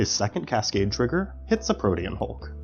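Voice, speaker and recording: Music plays in the background. Over it, a man's voice moves through very wide pitch swings. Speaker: gameplay commentator. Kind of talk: game commentary narration.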